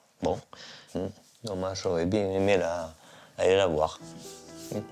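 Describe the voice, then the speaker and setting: Music plays behind a man with a very deep, low voice. He talks fairly slowly with monotone, flat intonation. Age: 70s. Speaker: heir. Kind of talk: testimony.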